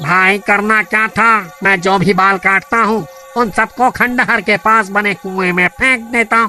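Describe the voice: A man does a cartoonish character voice, high-pitched, raised and projected, at a moderate pace. Clear music plays in the background.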